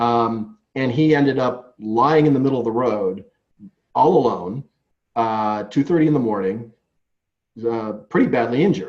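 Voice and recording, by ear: Speaking at a fairly slow pace, a man uses a medium pitch and lively intonation.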